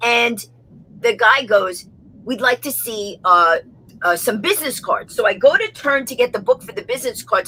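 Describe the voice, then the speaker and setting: With a New York accent, a woman talks in a high voice with lively intonation over noticeable background noise. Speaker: comedienne, motivational speaker. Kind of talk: interview answer. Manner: fast.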